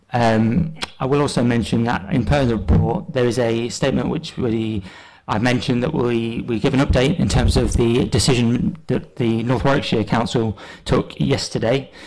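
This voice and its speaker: A man speaks at a moderate pace with vocal fry against a quiet background. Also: ordinary pitch variation. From England. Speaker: planning officer. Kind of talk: council meeting presentation. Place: meeting room. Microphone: podium.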